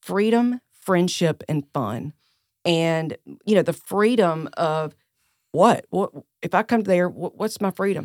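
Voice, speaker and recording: Speaking very slowly in a Southern US accent, a woman with a fairly low pitch shows ordinary pitch variation, and the sound is dry and close with no echo. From US South (South Carolina). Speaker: senior living facility director. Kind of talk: casual interview.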